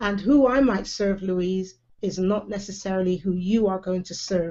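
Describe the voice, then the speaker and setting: In a West Country accent, a woman speaks at a moderate pace with a dark, mellow tone. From England, Bristol. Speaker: live video show host. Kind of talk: casual online chat. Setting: live online video hangout.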